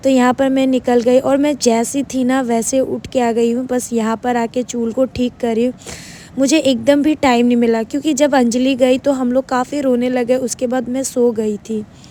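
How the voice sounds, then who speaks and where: The delivery is monotone and flat at a moderate pace, with hardly any pauses. Noticeable background noise sits underneath. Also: woman, high pitch for a woman. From Guwahati, Assam, India. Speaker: vlogger. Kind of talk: vlog narration.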